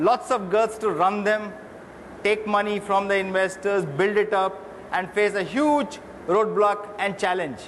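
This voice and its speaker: A man's high voice at a fairly slow pace, with ordinary pitch variation, very even loudness, and noticeable background noise. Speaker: retail executive, interviewer. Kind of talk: stage interview questions.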